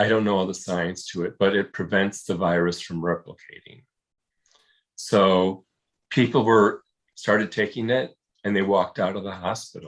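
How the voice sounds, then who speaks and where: A man speaks at a moderate pace with fairly even intonation and long, frequent pauses. The recording is very clean, with a silent background. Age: 60s. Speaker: long-term HIV survivor. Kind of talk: interview. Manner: halting.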